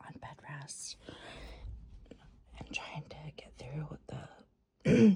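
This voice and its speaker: A woman whispers with long, frequent pauses and big swings in loudness. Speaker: ASMR reading creator, person in addiction recovery. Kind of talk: casual talk to camera, personal update. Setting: at home in bed, dog audible in background. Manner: soft-spoken, whispered.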